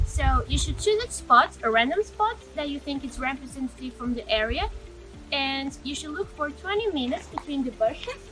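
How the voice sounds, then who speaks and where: A woman's raised, projected voice, high in pitch, at a moderate pace with lively intonation, over music in the background. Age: 20s. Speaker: university student. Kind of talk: tutorial. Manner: casual.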